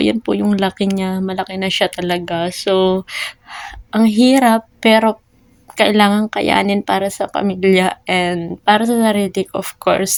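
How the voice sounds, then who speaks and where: Speaking at a fairly slow pace with fairly even intonation, a woman has a medium pitch, and the sound is dry and close with no echo. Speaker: vlogger. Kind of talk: personal vlog. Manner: emotional, halting.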